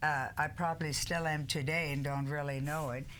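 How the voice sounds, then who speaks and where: Audible room echo surrounds a woman whose voice sits very deep and low. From Germany, moved to an English-speaking country at ten. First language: German. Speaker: talk show co-host. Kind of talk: casual chat.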